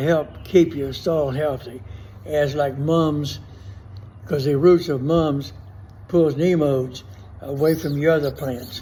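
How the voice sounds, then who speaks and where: A man with a South Louisiana accent speaks at a very slow pace. His pitch is fairly high, with audible room echo. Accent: South Louisiana Southern US. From US South. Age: 80s+. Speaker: gardener. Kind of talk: tutorial. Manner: casual.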